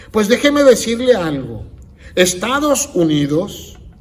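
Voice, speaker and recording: Amid audible room echo, a man with a high pitch speaks at a very slow pace, his voice making very wide pitch swings. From United States. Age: 60s. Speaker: pastor. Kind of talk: sermon.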